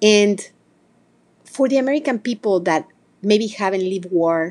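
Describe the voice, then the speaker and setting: The speaker is a woman with a Spanish accent. She talks at a moderate speed. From Mexico, small town. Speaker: podcast host. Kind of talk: holiday address to audience.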